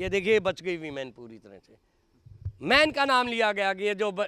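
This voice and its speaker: Raised and projected, a man's high, bright, sharp voice moves at a moderate pace with lively intonation. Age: 70s. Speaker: activist. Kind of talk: public speech. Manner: animated.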